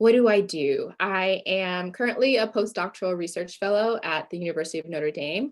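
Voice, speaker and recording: At a fairly quick pace with hardly any pauses, a woman with an American accent speaks in a normal speaking voice at a medium pitch with ordinary pitch variation. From United States. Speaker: academic researcher and lifestyle blogger. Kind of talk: podcast interview.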